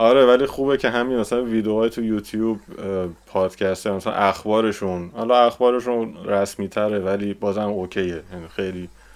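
A man with a normal speaking voice talks at a moderate pace. His pitch is fairly low and his intonation fairly even. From Iran. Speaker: visual effects compositor. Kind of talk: casual chat.

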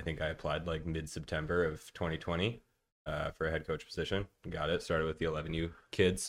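A man with an American accent talks fairly quickly in a very deep, low voice. His intonation is flat and monotone, and the recording is very clean with a silent background. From Minnesota. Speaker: baseball coach. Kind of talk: casual chat.

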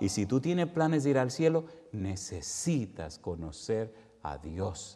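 With very wide pitch swings, a man talks at a medium pitch in a dark, mellow tone amid audible room echo. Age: 50s. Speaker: preacher. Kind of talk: sermon. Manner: animated.

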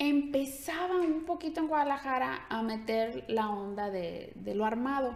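The voice belongs to a woman and is high in pitch. She talks with lively intonation. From Mexico, Ciudad Guzmán, Jalisco. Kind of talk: casual interview.

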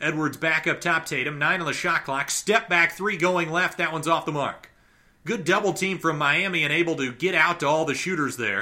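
A man's fairly high, bright, sharp voice, with ordinary pitch variation and a fairly quick pace. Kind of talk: live basketball play-by-play commentary. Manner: rapid-fire, clipped, running narration of each possession.

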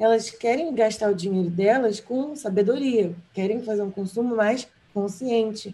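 Fairly slow, somewhat breathy speech from a woman, fairly high in pitch, dark and mellow in tone, with ordinary pitch variation. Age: 20s. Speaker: fashion stylist and journalist. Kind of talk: casual interview.

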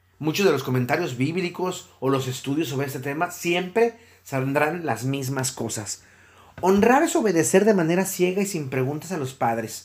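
A man with a Mexican accent, moderate pace and very wide pitch swings. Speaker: podcast host and psychologist. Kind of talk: solo podcast monologue.

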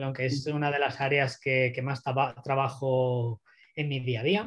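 A man talks at a fairly slow pace. He has an ordinary speaking voice. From Spain (Barcelona). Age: 30s. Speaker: growth marketing consultant. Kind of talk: interview.

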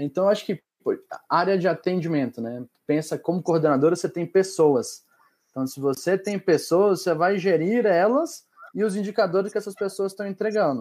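Talking at a moderate pace, a man with a high pitch uses ordinary pitch variation. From Minas Gerais, Brazil (Montes Claros). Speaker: operations executive. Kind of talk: live panel interview.

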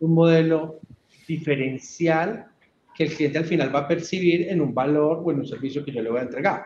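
Here a man speaks with an Antioquian accent at a fairly high pitch. His voice is somewhat breathy, with fairly even intonation at a moderate pace. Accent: Colombian paisa (Antioquia) Spanish. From Colombia, Antioquia (Urrao). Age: 30s. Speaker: IT company general manager. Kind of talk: podcast interview.

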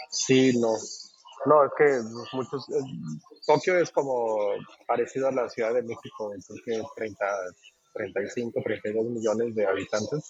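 Over noticeable background noise, a man talks at a very slow pace and medium pitch. He leaves long, frequent pauses. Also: ordinary pitch variation. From Mexico, Guadalajara. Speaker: taco restaurant owner abroad. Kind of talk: casual interview.

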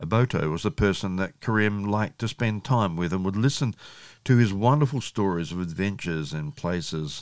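The recording is very clean with a silent background. A man in a plain, everyday voice talks at a moderate pace, with a fairly low pitch and lively intonation. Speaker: podcast host and youth worker. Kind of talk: audiobook-style story reading of a child's tale, told in an even, gentle, narrative tone. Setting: podcast episode. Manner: earnest, formal and informative.

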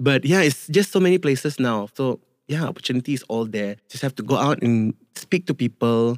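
With a Malaysian accent, a man speaks at a moderate pace and medium pitch, his intonation lively, the sound dry and close with no echo. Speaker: singer, guest. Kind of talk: casual interview chat. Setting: studio.

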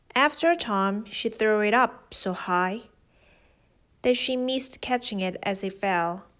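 Fairly high in pitch, a woman uses an unremarkable speaking voice with ordinary pitch variation, captured in a very clean recording with a silent background. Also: fairly slow pace. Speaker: podcast host reading fairy tales. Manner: steady, measured storyteller pacing.

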